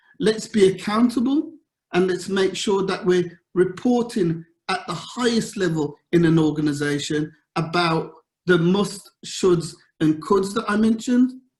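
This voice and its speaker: A man with a slight Birmingham accent speaks at a fairly slow pace in a high voice with ordinary pitch variation. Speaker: governance consultant. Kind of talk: conference talk. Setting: virtual event.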